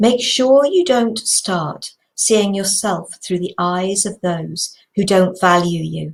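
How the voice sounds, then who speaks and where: A somewhat breathy woman speaks at a very slow pace. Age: 60s. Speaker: inspirational video host. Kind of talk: reflective talk to camera. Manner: casual, conversational.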